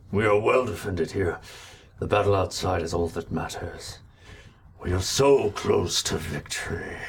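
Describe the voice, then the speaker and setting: Putting on a raspy character voice, a man speaks at a fairly low pitch and a moderate pace. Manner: menacing, commanding.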